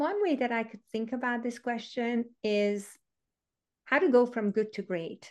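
A woman with a Hungarian accent at a fairly high pitch, fairly slow in pace, with ordinary pitch variation and a quiet background. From Hungary. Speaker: education author and former teacher. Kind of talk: casual interview conversation.

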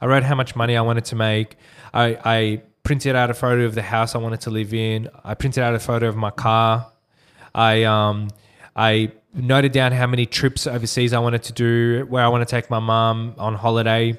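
A man with an Australian accent talks at a fairly quick pace in a medium pitch with monotone, flat intonation. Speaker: digital marketing agency owner. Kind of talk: casual interview.

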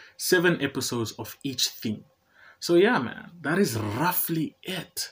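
The recording is very clean with a silent background, carrying a man's somewhat breathy speech. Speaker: podcast host, psychology graduate, poet and stand-up comedian. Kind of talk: solo podcast intro, casual monologue. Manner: rambling, chatty, self-deprecating; anxious, animated.

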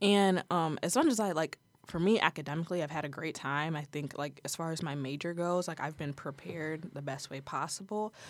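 A woman with an American accent speaks in a plain, everyday voice, fairly low in pitch with ordinary pitch variation, at a fairly quick pace with hardly any pauses on a very clean recording with a silent background. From Ohio, US Midwest (Toledo area). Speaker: college student, student journalist. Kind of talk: casual interview.

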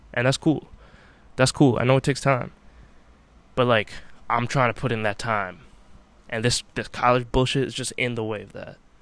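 In a very clean recording with a silent background, a man speaks at a moderate pace with long, frequent pauses. His pitch is medium, his intonation fairly even, and his loudness swings widely. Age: 20s. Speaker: college student podcaster. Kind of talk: late-night solo monologue. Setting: home basement. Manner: rambling, repetitive.

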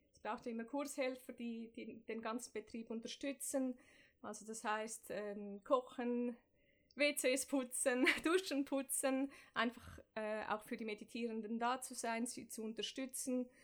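The speech moves at a fairly slow pace with fairly even intonation. Its loudness swings widely. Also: woman, high pitch for a woman. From Switzerland, Zurich. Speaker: meditation instructor. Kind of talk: interview.

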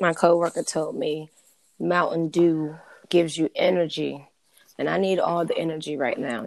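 A put-on character voice, raspy and tired in tone, at a middle pitch. The pace is moderate, and the recording is very clean with a silent background. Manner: tired, low energy.

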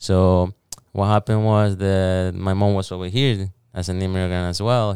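A man's fairly low, dark and mellow voice in a flat monotone, on a very clean recording with a silent background. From El Salvador. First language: Spanish. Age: 20s. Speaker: cleaning business founder. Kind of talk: casual interview. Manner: halting.

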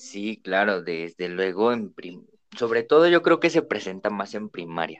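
Speaking at a fairly slow pace, a man with a fairly low pitch shows very wide pitch swings and big swings in loudness. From Mexico, Naucalpan. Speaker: podcast co-host. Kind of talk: casual chat.

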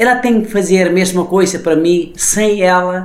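Against noticeable background noise and audible room echo, a man with a high pitch speaks at a very slow pace. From Nepal. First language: Nepali (speaking Portuguese). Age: 40s. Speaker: chef and restaurateur. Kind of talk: interview. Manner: halting.

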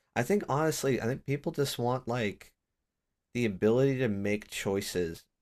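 A man's medium-pitched voice at a moderate pace, animated in tone and very even in loudness, on a very clean recording with a silent background. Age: 30s. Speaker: podcast host. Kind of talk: casual interview.

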